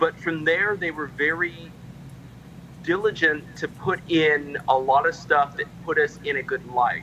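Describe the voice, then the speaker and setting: Through noticeable background noise, a man with a fairly high pitch talks at a fairly slow pace with fairly even intonation. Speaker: member of a heritage group. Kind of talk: casual chat. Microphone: too quiet at first.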